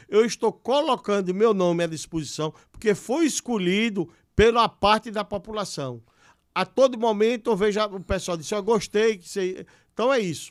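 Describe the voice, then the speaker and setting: A man's high-pitched voice at a moderate pace, with ordinary pitch variation and big swings in loudness, dry and close with no echo, in a very clean recording with a silent background. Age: 60s. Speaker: politician, professor and businessman. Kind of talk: interview.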